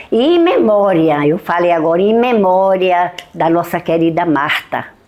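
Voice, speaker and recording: At a fairly slow pace, a woman speaks with very even loudness and ordinary pitch variation against noticeable background noise. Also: fairly low pitch for a woman. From Bahia, Brazil (Caém district). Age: 70s. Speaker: retired schoolteacher. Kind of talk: documentary testimony.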